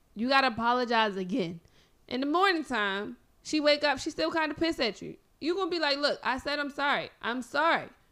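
A woman talks fairly quickly in a high, raised, projected voice with lively intonation. The recording is very clean with a silent background. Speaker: guest co-talker. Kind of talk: casual banter debate.

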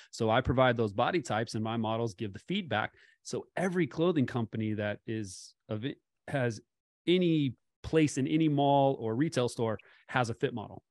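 With an American accent, a man in a normal speaking voice talks at a moderate pace and medium pitch with ordinary pitch variation, in a dry, close sound with no echo and a quiet background. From California. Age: 30s. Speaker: fit model and business coach. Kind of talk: casual interview.

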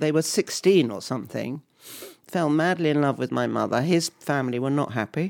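A woman's very deep, low voice with vocal fry, a southern English accent, ordinary pitch variation and a fairly quick pace. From England, Harpenden near London. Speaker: musician's mother. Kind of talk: casual chat. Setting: at home.

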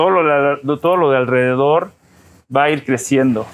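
Heard on a very clean recording with a silent background, a man with a normal speaking voice and a fairly high pitch keeps a fairly even intonation. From Mexico (Cuernavaca) and United States. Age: 40s. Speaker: political candidate. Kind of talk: interview.

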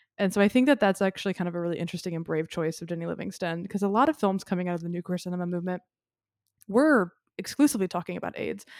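At a very fast pace, a woman speaks in a medium pitch with ordinary pitch variation, the sound dry and close with no echo on a very clean recording with a silent background. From Memphis, Tennessee. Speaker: podcast co-host. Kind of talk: casual chat.

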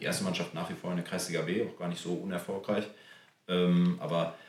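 A man talks at a very fast pace. There is audible room echo and noticeable background noise. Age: 30s. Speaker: amateur footballer and club board member. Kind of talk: casual chat. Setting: on location at a club.

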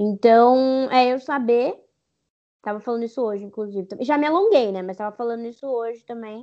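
Speaking at a moderate pace, a woman with an ordinary speaking voice uses a fairly high pitch, ordinary pitch variation and big swings in loudness. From Brazil, São Paulo (East Zone). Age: 20s. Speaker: digital influencer. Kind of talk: interview.

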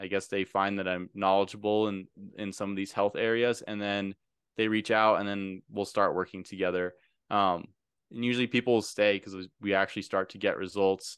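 A man with a fairly low pitch speaks at a fairly quick pace in a monotone, flat intonation. The sound is dry and close with no echo, and the background is quiet. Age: 20s. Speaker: health coach and nutritionist. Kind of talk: casual interview.

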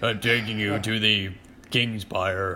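A man's put-on character voice, fairly low in pitch and monotone and flat in intonation, over clear background noise.

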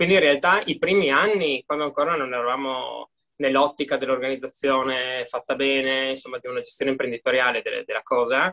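At a fairly quick pace, a man talks with a dry, close sound and no echo. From Friuli, northeast Italy. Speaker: gym owner and entrepreneur. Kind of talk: interview.

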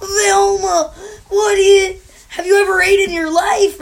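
The speaker uses a put-on character voice with an extremely high pitch. The pace is fairly slow. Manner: dim, clueless.

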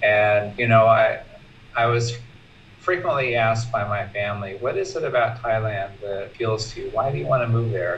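A man's medium-pitched voice with a West Coast American accent, moderate pace and ordinary pitch variation, over noticeable background noise. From US West Coast. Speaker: retired teacher, Buddhist student. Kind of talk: personal sharing. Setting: video call.

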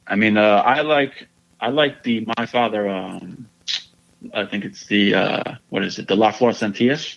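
An unremarkable speaking voice with ordinary pitch variation at a fairly slow pace. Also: man, fairly low pitch for a man. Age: 20s. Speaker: cigar podcast host. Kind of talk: casual chat.

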